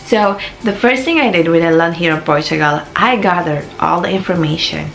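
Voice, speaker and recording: A woman with a Filipino accent talks at a fairly quick pace, her pitch fairly low with ordinary variation. Noticeable background noise and audible room echo fill the recording. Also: very even loudness. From Philippines. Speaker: vlogger. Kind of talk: casual advice vlog.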